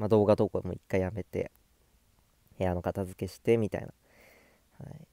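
Relaxed and dark, mellow in tone, a man speaks at a fairly low pitch with ordinary pitch variation, the sound dry and close with no echo. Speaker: gaming YouTuber. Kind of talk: casual solo vlog monologue. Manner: relaxed, laid-back; frequent fillers and self-talk.

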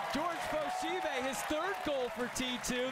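Over crowd noise in the background, a man speaks at a very slow pace in an extremely high pitch, with a dramatic tone, lively intonation and a dry sound with no echo. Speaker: sports commentator. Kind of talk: live sports commentary. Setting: match highlights video, stadium broadcast. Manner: excitable, dramatic on goals. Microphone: headset.

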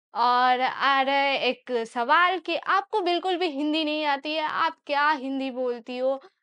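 In a Bengali accent, a woman speaks at a high pitch. Her intonation is fairly even, and the background is quiet. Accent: Bengali-accented Hindi, gender errors. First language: Bengali (speaking Hindi). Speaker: YouTuber / vlogger; vlogger. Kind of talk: casual Q&A vlog. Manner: hesitant, with fillers. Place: home room. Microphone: lapel.

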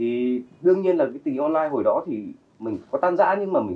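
Speaking at a very fast pace, a man with a high pitch makes very wide pitch swings. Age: 40s. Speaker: actor, model, singer and photographer; talk show guest. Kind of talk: talk show interview. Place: studio.

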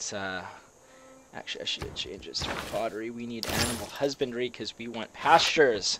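Talking fairly quickly, a man keeps a medium pitch and ordinary pitch variation. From Canada. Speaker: video game let's play creator. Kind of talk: gameplay commentary. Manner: casual with many fillers and hesitations.

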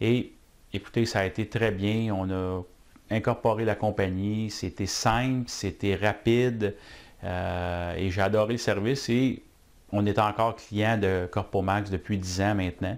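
This man speaks with a Quebec accent at a fairly low pitch. His pace is very slow and his intonation fairly even. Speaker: business owner. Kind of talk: testimonial; interview answer. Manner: halting, many fillers. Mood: warm, satisfied. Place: office.

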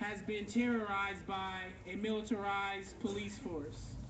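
A man talks at a fairly slow pace in a high pitch with monotone, flat intonation. Noticeable background noise sits behind him. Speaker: pastor. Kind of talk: rally speech. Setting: outdoors. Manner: forceful.

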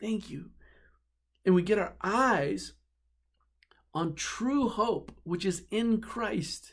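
A man's high-pitched, warm voice at a very slow pace, with long, frequent pauses, ordinary pitch variation and a quiet background. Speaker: pastor. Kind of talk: sermon. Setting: office, filmed video message. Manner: earnest, warm preacherly delivery building by repetition ("You're the one"). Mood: earnest, heartfelt. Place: office. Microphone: webcam.

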